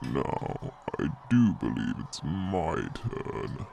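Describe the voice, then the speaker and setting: In a put-on character voice, a man growls very slowly at a very deep, low pitch with very wide pitch swings over clear background noise. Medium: read story. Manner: smug, condescending.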